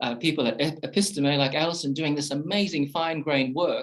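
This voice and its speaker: The pace is very fast. The man speaking has an Australian accent. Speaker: professor. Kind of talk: panel discussion talk. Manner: halting, many repetitions and fillers.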